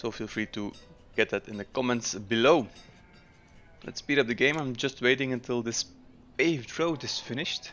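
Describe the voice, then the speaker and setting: A man with a Dutch accent talks at a moderate pace and medium pitch with ordinary pitch variation and long, frequent pauses, with music in the background. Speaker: gaming YouTuber. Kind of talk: gameplay commentary. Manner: casual, with frequent filler 'uh'.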